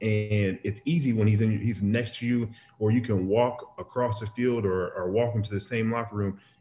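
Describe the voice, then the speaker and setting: With a fairly low pitch and a somewhat breathy voice, a man speaks at a moderate pace with fairly even intonation. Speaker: remote interview guest. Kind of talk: interview answer. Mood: relaxed, respectful. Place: kitchen. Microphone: video call.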